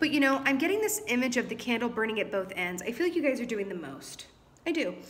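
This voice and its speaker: A woman speaks at a fairly quick pace in a high pitch with very wide pitch swings. There is audible room echo and noticeable background noise. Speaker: tarot reader. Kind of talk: tarot reading. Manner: fast.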